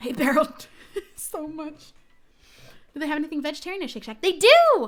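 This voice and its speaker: A woman with an American accent, high-pitched, with lively intonation and a fairly quick pace. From New Jersey. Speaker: gaming streamer. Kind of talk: live stream chat.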